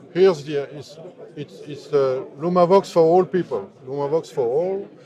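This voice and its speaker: With a French accent, a man talks at a fairly slow pace and a fairly high pitch, with ordinary pitch variation and big swings in loudness, against noticeable background noise. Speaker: synthesizer maker. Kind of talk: interview. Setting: trade fair booth. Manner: halting.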